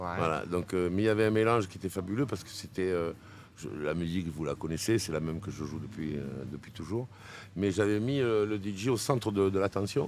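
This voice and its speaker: With a strong southern French accent, a man talks at a fairly quick pace in a very deep, low pitch. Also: ordinary pitch variation. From southern France, Arles area. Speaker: DJ. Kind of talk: interview. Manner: animated.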